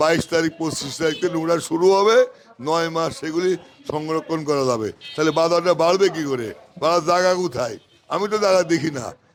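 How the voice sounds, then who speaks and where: Ordinary in pitch variation, a man speaks in a voice that is high for a man. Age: 60s. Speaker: onion wholesale trader. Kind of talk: interview. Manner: animated.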